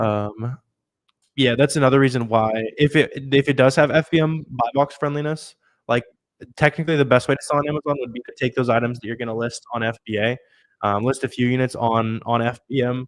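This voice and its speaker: In a very clean recording with a silent background and a dry, close sound with no echo, a man talks very fast at a medium pitch with fairly even intonation. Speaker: online seller and YouTube educator. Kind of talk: live stream Q&A. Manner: casual, filler-heavy.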